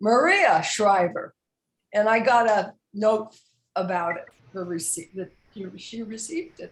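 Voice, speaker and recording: At a fairly slow pace with long, frequent pauses, a woman speaks in a fairly high, somewhat breathy voice with lively intonation and big swings in loudness. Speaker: retired nurse and author. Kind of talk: casual chat.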